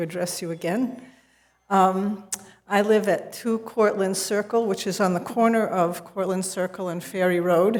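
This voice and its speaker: Flat, monotone intonation marks this woman's speech, with audible room echo around her. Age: old. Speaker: resident at public comment. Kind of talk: public comment at council meeting. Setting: city council meeting.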